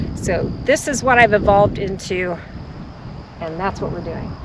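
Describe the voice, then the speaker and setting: Over noticeable background noise, a woman with an American accent talks with lively intonation. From Texas. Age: 60s. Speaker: homesteader. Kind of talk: video tour narration. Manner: casual.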